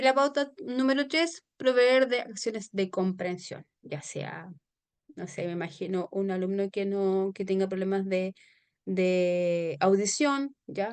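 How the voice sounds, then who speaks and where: At a very slow pace, a woman with a medium pitch speaks with lively intonation. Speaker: teacher. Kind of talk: online lecture. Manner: hesitant, many fillers.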